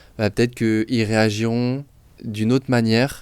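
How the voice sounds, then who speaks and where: Very clean recording with a silent background, carrying a man's voice of fairly low pitch. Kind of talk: discussion show. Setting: studio. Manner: fast.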